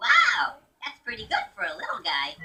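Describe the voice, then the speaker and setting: A woman puts on a cartoonish character voice. Her pitch is high. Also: moderate pace. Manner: goofy, enthusiastic.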